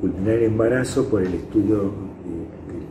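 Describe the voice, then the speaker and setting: At a fairly slow pace, the voice has ordinary pitch variation and audible room echo. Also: man. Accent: Rioplatense. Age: 70s. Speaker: psychologist. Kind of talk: interview testimony. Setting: indoors interview. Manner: halting.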